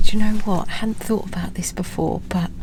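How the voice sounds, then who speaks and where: Someone speaks with a British accent against noticeable background noise and audible room echo. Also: woman. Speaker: travel vlogger. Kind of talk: casual vlog talk to camera.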